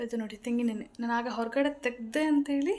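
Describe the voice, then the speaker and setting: A woman speaks in a dark, mellow tone at a high pitch with ordinary pitch variation. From North Karnataka, Badami. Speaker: vlogger. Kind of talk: casual vlog narration. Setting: at home, handheld camera.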